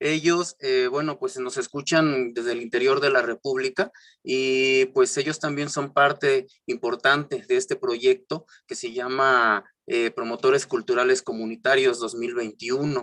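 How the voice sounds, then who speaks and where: A man with a southern Mexican accent speaks at a fairly slow pace in a medium pitch. His intonation stays fairly even, and the sound is dry and close with no echo. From Mexico, Juchitán de Zaragoza, Oaxaca. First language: Isthmus Zapotec (speaking Spanish). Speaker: cultural promoter, panel moderator. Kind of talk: online panel discussion. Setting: virtual session.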